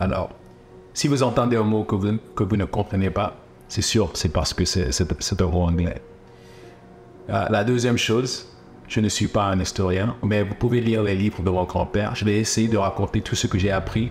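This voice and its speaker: Spoken at a moderate pace with an English accent, this voice has ordinary pitch variation, very even loudness, and long, frequent pauses. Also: man, fairly low pitch for a man. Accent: English-speaking accent in French. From Guinea (Fouta Djallon), then USA. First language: English (speaking French). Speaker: documentary filmmaker. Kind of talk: documentary narration, storytelling. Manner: halting, repeats words.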